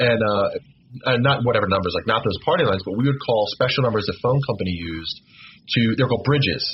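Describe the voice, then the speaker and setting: A somewhat breathy man at a very fast pace and medium pitch. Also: ordinary pitch variation. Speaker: podcast guest, former phone phreaker. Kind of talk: casual chat. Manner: halting, with filler words.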